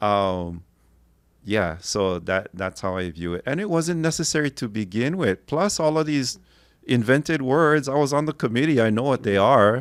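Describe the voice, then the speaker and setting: A man with a Hawaiian accent and a medium pitch, very wide pitch swings, and a moderate pace, in a very clean recording with a silent background. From Hawaii, Kauai. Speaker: linguist and translator. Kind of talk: interview conversation.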